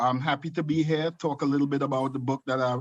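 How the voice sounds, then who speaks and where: A man speaks in a Trinidadian accent with monotone, flat intonation. The background is quiet. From Trinidad and Tobago. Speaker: nursing home executive and author. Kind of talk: video call talk.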